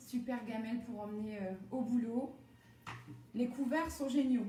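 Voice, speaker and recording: Noticeable background noise and audible room echo around a high-pitched woman with ordinary pitch variation. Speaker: home cooking demonstrator and product seller. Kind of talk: live-stream cooking demo with chat. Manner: animated.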